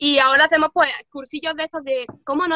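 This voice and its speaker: In an Andalusian accent, a woman talks fairly quickly in a high pitch. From Andalusia, Córdoba (southern Spain). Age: 20s. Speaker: translator and interpreter living in Japan. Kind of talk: casual interview chat. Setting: video call.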